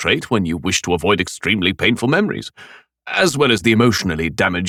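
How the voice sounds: Lively intonation in a natural reading voice, with a quiet background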